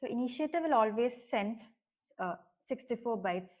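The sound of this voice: A woman's fairly high voice, lively in intonation and at a fairly slow pace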